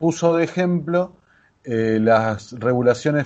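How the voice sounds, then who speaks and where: A man with an Argentine accent speaks with ordinary pitch variation. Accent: Argentine Spanish (Rioplatense). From Argentina. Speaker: podcaster. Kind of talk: interview.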